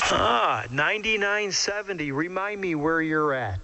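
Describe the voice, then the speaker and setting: Noticeable background noise and audible room echo surround speech with lively intonation. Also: man. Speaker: CB radio operator. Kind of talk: casual chat.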